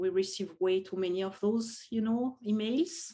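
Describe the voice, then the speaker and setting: The speech moves at a fairly slow pace in a French accent. The background is quiet. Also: woman. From France. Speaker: professor. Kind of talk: casual interview.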